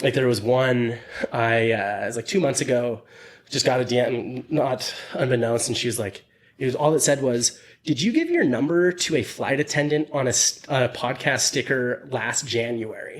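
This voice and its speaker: Speaking at medium pitch, a man uses ordinary pitch variation. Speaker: podcast host. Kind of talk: casual chat. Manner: fast; mumbling.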